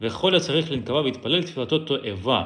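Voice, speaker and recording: A man with a Russian accent speaks at a fairly slow pace with lively intonation. Audible room echo surrounds his voice. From Belarus. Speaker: Torah teacher. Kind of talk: lecture. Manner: halting.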